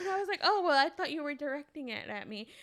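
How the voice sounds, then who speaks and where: A woman's animated tone with ordinary pitch variation, over noticeable background noise. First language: non-English language. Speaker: podcast co-host. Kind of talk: casual chat. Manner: animated storytelling.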